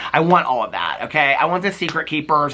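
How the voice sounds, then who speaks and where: A very fast, animated man with an American accent, over noticeable background noise. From Indiana, US Midwest. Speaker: reality TV commentator. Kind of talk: casual recap monologue.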